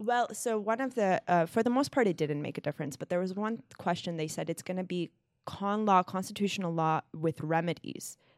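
Recorded very clean against a silent background in a dry, close sound with no echo, a woman with a plain, everyday voice and medium pitch talks at a fairly quick pace with hardly any pauses and lively intonation. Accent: American. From Los Angeles, California. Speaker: law clerk. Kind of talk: casual chat.

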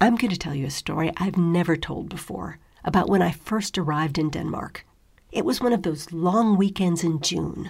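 With an American accent, the voice is somewhat breathy, moving at a moderate pace with lively intonation. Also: woman. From US. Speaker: podcast host. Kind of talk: talk on living abroad.

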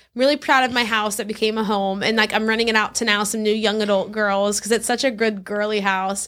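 A woman with an American accent talks at a very fast clip with hardly any pauses, her fairly high voice animated throughout. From US South, South Louisiana. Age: 20s. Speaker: author and speaker. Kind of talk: casual chat.

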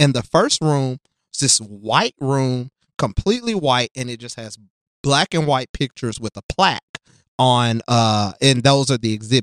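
An American accent with ordinary pitch variation and big swings in loudness. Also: man, medium pitch for a man. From US South, West Tennessee (Jackson). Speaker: diversity consultant for schools, former teacher. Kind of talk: casual interview conversation.

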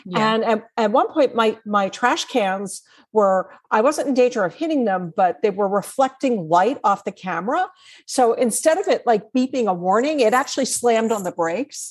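A plain, everyday voice at a moderate pace with lively intonation. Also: woman, fairly high pitch for a woman. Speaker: author and nonprofit technology trainer. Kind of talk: interview.

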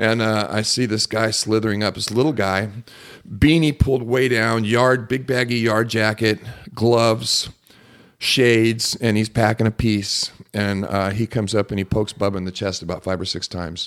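With an American accent, a man talks at a moderate pace in a fairly low voice with fairly even intonation. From Southern California (Laguna Beach) and Mexico. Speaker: pastor and former outlaw biker. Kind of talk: casual chat.

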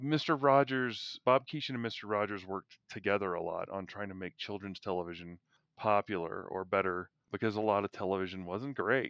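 In a normal speaking voice, a man talks fairly quickly at a fairly low pitch with ordinary pitch variation over a quiet background. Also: dry, close sound with no echo. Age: 50s. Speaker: podcast host. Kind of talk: casual chat.

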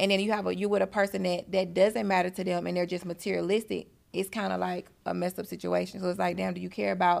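On a very clean recording with a silent background, a woman with an Atlanta accent talks at a very fast pace. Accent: Southern US, Atlanta. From Atlanta, US. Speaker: business owner. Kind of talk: casual chat.

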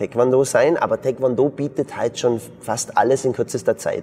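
A man at a medium pitch is heard through noticeable background noise. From Bavarian Swabia, southern Germany. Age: 40s. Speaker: martial arts school founder and entrepreneur. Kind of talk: interview conversation.

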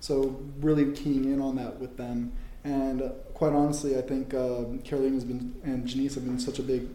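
A man talks at a moderate pace in a medium pitch. His intonation is monotone and flat, and audible room echo surrounds him. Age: 30s. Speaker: startup founder. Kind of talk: interview.

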